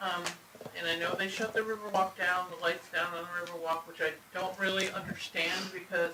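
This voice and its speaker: Amid noticeable background noise, a man with a high pitch speaks in a raised, projected voice at a moderate pace with monotone, flat intonation. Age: 50s. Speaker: public commenter at town meeting. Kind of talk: public comment.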